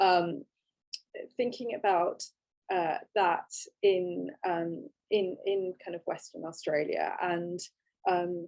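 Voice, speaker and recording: With a British accent, a woman speaks at a very slow pace and ordinary pitch variation. Her speech has long, frequent pauses. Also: medium pitch for a woman. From England. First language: Gujarati. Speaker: photographic artist. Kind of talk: online panel talk. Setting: online video talk. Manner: halting, many fillers.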